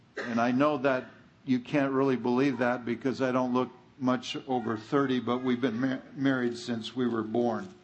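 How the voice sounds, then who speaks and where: Audible room echo surrounds a man with an American accent who speaks at a moderate pace and medium pitch, his intonation monotone and flat and his loudness very even. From California. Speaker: guest preacher. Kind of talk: sermon.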